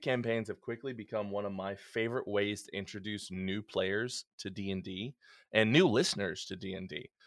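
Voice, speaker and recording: This man has an ordinary speaking voice, fairly low in pitch. He talks at a fairly quick pace with fairly even intonation. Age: 30s. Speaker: lawyer and tabletop game master. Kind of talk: casual chat.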